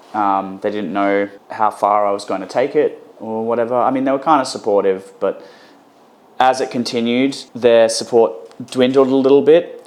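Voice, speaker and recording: A man talks at a moderate pace. His medium pitch has ordinary variation. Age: 30s. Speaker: metal band vocalist. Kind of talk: interview. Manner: hesitant, with many fillers.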